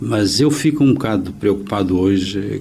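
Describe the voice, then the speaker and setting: Over noticeable background noise, a man with fairly low pitch speaks at a very slow pace. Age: 60s. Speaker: accountant. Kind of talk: interview. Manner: hesitant, many fillers.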